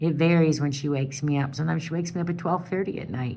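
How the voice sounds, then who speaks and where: This woman has an American accent and a very deep, low pitch. Her intonation stays fairly even, and the room echo is audible. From Wisconsin. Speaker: caregiver of a sick partner. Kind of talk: personal appeal monologue. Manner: loud; halting.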